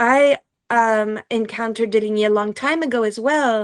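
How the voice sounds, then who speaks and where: In a French accent, a woman speaks at a fairly high pitch with fairly even intonation, the sound dry and close with no echo on a very clean recording with a silent background. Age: 50s. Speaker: professor and philosopher. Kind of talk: interview.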